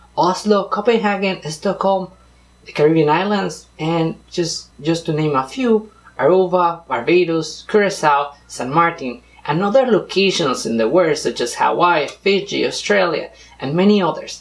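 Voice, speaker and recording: Over noticeable background noise, a man speaks in a Spanish accent with a high pitch and lively intonation. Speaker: vlogger, former cruise ship crew member. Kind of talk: scripted vlog narration.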